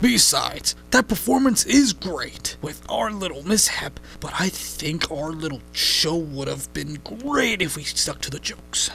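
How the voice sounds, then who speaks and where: A man's cartoonish character voice at a moderate pace, hardly any pauses, clear background noise. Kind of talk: comic overacting. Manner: chatty, insistent.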